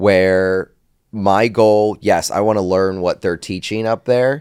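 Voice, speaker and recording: A man's very deep, low voice with fairly even intonation on a very clean recording with a silent background. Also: dry, close sound with no echo. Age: 30s. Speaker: realtor. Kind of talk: casual chat. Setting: studio. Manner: halting.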